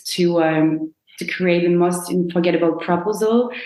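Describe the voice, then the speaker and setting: With a French accent, a woman of fairly low pitch speaks amid audible room echo. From France, Brittany. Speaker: proposal planner, business owner. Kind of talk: podcast interview.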